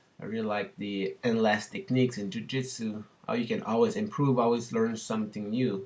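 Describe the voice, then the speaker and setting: This man has a French Canadian accent. His pitch sits in the medium range. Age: 30s. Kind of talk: casual talk to camera.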